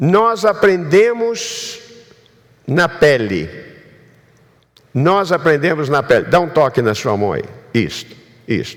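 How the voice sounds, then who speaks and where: A man speaks at a very slow pace with long, frequent pauses. His high pitch moves in very wide swings. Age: 70s. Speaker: pastor. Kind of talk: sermon.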